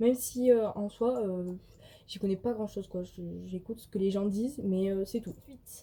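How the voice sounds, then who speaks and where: Speaking at a moderate pace in a southern French accent, a woman uses a medium, somewhat breathy voice with a dark, mellow tone and ordinary pitch variation. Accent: southern French accent, noticeable. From southwestern France, countryside. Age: 20s. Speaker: vlogger and student. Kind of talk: casual vlog Q&A. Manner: hesitant, many fillers.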